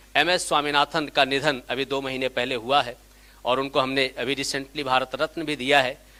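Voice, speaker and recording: In a bright, sharp, animated tone, a man speaks. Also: dry, close sound with no echo. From India, Gujarat (Kathiawar, Saurashtra). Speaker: academic lecturer. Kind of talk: seminar lecture. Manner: animated, interactive with audience.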